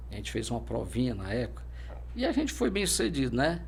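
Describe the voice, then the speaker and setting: Audible room echo surrounds the voice. It belongs to a man. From Brazil, Fortaleza, Ceará. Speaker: military police officer. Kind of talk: interview. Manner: halting.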